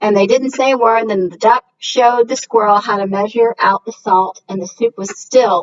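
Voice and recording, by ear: The background stays quiet. Someone reads aloud in a natural voice, with ordinary pitch variation.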